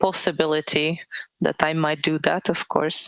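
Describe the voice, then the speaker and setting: A woman with a very deep, low pitch talks in a dry, close sound with no echo. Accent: Czech. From Czech Republic. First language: Czech. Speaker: author. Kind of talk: interview. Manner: halting.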